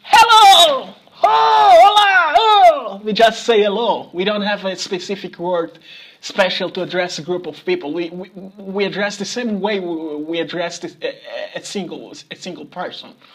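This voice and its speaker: The speech goes at a moderate pace, with noticeable background noise. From Mozambique. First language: Portuguese. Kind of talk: casual talk to camera.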